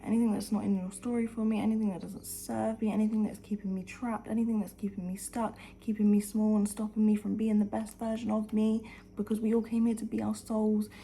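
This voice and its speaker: A woman speaks at a very fast pace in a dark, mellow tone that is somewhat breathy. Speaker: lifestyle vlogger. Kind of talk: motivational talk to camera. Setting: at home, early morning. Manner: whispering; animated.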